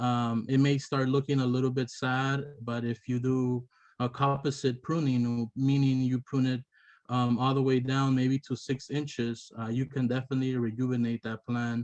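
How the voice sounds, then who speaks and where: In a non-native accent, a man speaks at a moderate pace with monotone, flat intonation. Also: medium pitch for a man. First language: not English. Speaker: landscaper and gardening teacher. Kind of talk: lecture. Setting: webinar. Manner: halting, many fillers.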